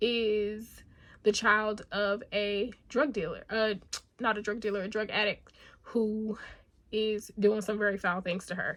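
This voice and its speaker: A woman's fairly high-pitched voice. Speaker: book youtuber. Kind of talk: casual book review vlog. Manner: conversational with filler words.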